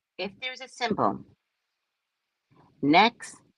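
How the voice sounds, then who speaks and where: A woman is speaking. Her voice has vocal fry. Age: 60s. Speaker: psychic reader. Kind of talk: casual live stream chat.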